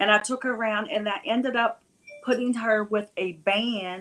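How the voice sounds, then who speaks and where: In a plain, everyday voice, a woman with an American accent talks at a moderate pace with a medium pitch and ordinary pitch variation. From West Virginia. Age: 60s. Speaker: music event promoter. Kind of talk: interview.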